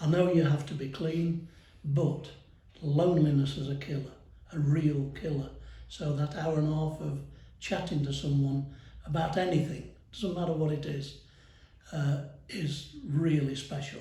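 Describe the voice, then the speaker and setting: A man with a fairly high, somewhat breathy voice talks at a moderate pace in monotone, flat intonation, leaving long, frequent pauses. Audible room echo surrounds him. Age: 70s. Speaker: retired power station worker. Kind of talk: interview.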